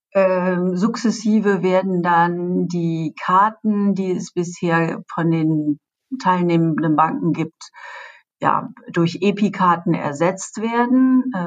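Very slow delivery from a woman at a medium pitch, her pitch varying in an ordinary way. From Germany. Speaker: payments executive. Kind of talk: interview. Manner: hesitant, many filler sounds.

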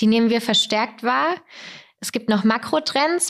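A woman speaks in an unremarkable speaking voice at a moderate pace and fairly high pitch, on a very clean recording with a silent background. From southern Germany (Weikersheim, Tauber Franconia). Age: 20s. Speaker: corporate digital business developer, trend expert. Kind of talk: podcast interview.

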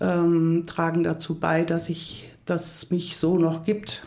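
A woman's voice sits at a fairly low pitch. She speaks at a fairly slow pace. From Hunsrück, western Germany. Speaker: leadership coach. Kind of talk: podcast interview.

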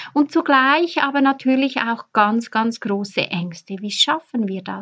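Very slow speech from a woman, fairly high in pitch, showing ordinary pitch variation. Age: 40s. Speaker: fertility coach and podcast host. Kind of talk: personal storytelling monologue; advice to listeners.

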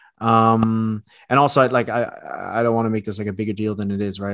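A man with an unremarkable speaking voice, medium pitch, and a fairly quick pace against a quiet background. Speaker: sneaker writer and podcast host. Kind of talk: casual chat.

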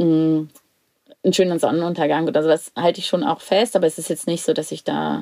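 Recorded with a dry, close sound and no echo, a woman speaks at a fairly low pitch. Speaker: podcast co-host. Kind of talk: casual interview. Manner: restrained, controlled; hesitant, many fillers.

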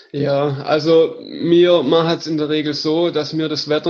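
At a very slow pace, a man holds a fairly high pitch in monotone, flat intonation. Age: 30s. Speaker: hiking tour organizer. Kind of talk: interview.

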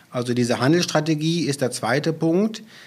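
A man's voice with ordinary pitch variation. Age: 40s. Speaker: utility sales manager. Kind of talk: podcast interview.

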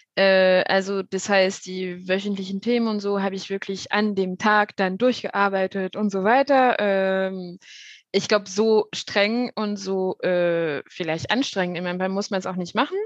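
A woman talks at a fairly slow pace and medium pitch, keeping her intonation fairly even. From France. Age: 30s. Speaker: mentoring program participant. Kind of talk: interview.

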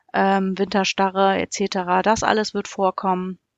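A woman speaks in a calm tone at medium pitch. Her pace is fairly slow. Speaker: primary school teacher. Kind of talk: casual interview.

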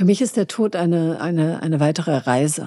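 A woman's dark, mellow voice with ordinary pitch variation. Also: quiet background. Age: 50s. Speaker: beauty expert, shop owner. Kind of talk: interview conversation.

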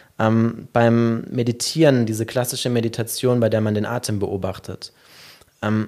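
A man speaks at a fairly slow pace with a medium pitch and a dark, mellow tone. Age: 30s. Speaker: meditation company founder. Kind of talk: interview conversation.

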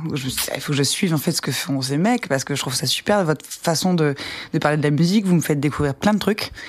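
A woman talks at a very fast pace with lively intonation. Her pitch is very deep and low. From Ardennes, northern France. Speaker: musician. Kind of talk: casual interview.

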